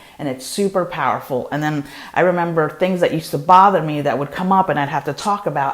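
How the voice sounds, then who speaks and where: Very deep, low female voice with an animated tone, ordinary pitch variation and a fairly quick pace, plus noticeable background noise. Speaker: spiritual teacher and podcast host. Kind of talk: casual spiritual talk leading into guided meditation. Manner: fast.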